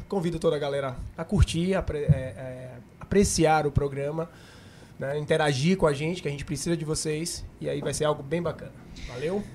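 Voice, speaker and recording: Using an ordinary speaking voice, a man with a fairly high pitch keeps fairly even intonation at a moderate pace. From Camaçari, Bahia, Brazil. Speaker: businessman and podcast co-host. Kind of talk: casual chat.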